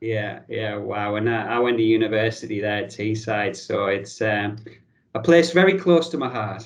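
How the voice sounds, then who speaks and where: A man with a northern English accent speaks at a moderate pace and medium pitch, with audible room echo around him. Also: ordinary pitch variation. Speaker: podcast host. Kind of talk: casual interview chat.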